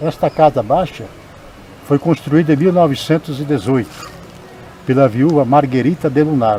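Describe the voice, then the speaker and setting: A man speaks in a fairly high voice with noticeable background noise behind him. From Espírito Santo, Brazil. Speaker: writer and poet. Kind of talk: oral history testimony, local heritage tour.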